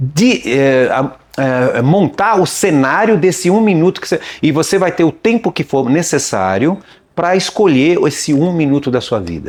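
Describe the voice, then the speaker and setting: A man talks with lively intonation at a moderate pace. His pitch is fairly high. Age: 60s. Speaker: video rental shop owner. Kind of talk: casual interview chat. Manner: halting, with false starts.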